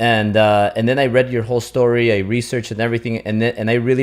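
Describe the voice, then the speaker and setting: The recording is very clean, with a silent background. A man talks in a monotone, flat intonation with a Spanish accent. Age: 30s. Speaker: podcast host. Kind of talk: interview. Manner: halting, many false starts.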